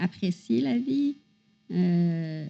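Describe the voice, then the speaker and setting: A woman's somewhat breathy, dark, mellow voice with a Quebec accent. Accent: Québécois French. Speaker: podcast co-host. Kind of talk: casual chat.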